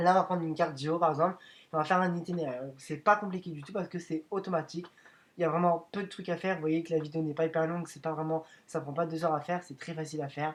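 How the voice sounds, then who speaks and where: A man's high voice, monotone and flat in intonation, delivered at a very fast pace with big swings in loudness. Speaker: YouTuber making video editing tutorials. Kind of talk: tutorial. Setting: screen recording voiceover. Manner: hesitant, many fillers.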